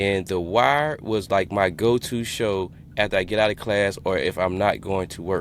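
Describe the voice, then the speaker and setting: With a Louisiana accent, a man speaks at a moderate pace in a fairly low pitch with ordinary pitch variation. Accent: Southern US, Louisiana. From Louisiana (Shreveport). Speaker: podcast host. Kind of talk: casual interview chat.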